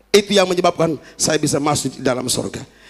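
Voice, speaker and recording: Very fast and animated, the speaker uses a Kupang accent with very wide pitch swings. Noticeable background noise runs underneath. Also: man. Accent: Kupang accent slipping in. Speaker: pastor. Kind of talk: sermon. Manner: animated, engaging the congregation.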